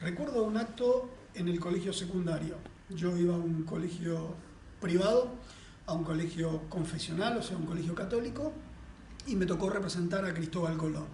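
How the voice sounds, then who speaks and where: With noticeable background noise and audible room echo, a man speaks at a high pitch. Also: ordinary pitch variation, moderate pace. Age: 50s. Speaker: federal prosecutor. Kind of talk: interview testimony.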